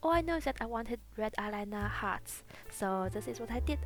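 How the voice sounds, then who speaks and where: Music in the background behind a woman talking at a fairly quick speed. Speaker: beauty youtuber. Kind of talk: makeup tutorial voiceover.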